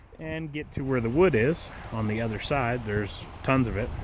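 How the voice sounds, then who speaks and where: Noticeable background noise fills the recording. Through it, a man talks fairly slowly. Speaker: camping vlogger. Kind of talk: casual vlog narration. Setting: outdoors. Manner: soft-spoken.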